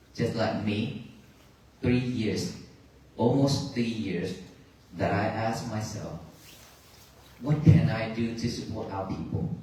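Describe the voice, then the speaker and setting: In a Vietnamese accent, a man speaks at a fairly slow pace and medium pitch with ordinary pitch variation, with audible room echo and noticeable background noise. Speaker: Buddhist monk. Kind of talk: dharma talk. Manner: halting.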